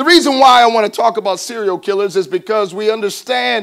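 A man's voice, background quiet. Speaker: pastor. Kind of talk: sermon. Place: church. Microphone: podium.

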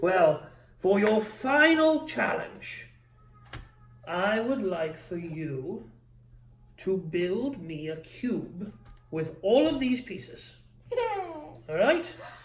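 In a put-on character voice at middle pitch, the speaker goes at a very slow pace with long, frequent pauses. The pitch swings very widely. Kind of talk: gentle bedtime-style game mastering. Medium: actual play. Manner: warm, encouraging, slightly grand.

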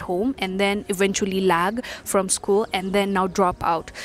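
A woman at a moderate pace with monotone, flat intonation, in a dry sound with no echo and faint music in the background. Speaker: vlogger. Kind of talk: casual vlog chat. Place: street. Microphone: lapel.

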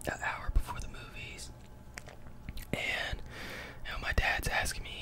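A man's whisper at a moderate pace over noticeable background noise. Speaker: ASMR mukbang creator. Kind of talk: casual talk to camera while eating.

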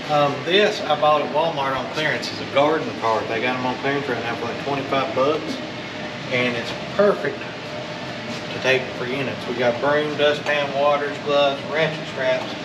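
Loud background noise surrounds the speaker, a man. He talks at a fairly slow pace. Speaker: storage unit reseller. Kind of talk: casual vlog chat.

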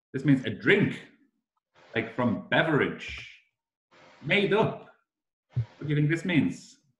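A man with a fairly high pitch speaks at a very slow pace, his voice making very wide pitch swings. Long, frequent pauses break up his speech, and room echo is audible. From Liverpool. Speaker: summer school director; English teacher presenting. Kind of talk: online class presentation to foreign students. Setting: video call. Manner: slow, simplified speech for learners; animated. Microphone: video call.

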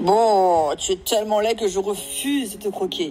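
A gruff, put-on character voice sits at a fairly high pitch. Clear music plays in the background. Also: moderate pace. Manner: barking.

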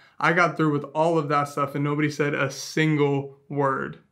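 A man is speaking at a moderate pace. The background is quiet. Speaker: travel vlogger. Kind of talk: casual vlog chat. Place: home room.

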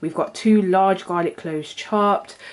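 Ordinary pitch variation in a woman's voice. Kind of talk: tutorial. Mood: friendly, chatty. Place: kitchen.

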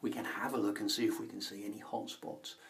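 A man speaks at a fairly quick pace. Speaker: wildlife gadget vlogger. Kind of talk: casual vlog tutorial. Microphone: phone near.

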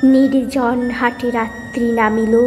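A woman speaks with a high pitch. Music plays in the background. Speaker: poetry reciter. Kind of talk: poetry reading.

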